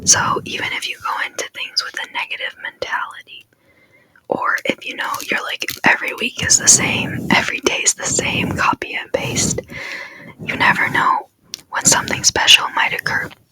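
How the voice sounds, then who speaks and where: Whispering at a moderate pace, a woman uses a gentle, soothing tone with big swings in loudness. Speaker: ASMR content creator. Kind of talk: ASMR motivational talk to camera. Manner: soft, gentle, repetitive, soothing.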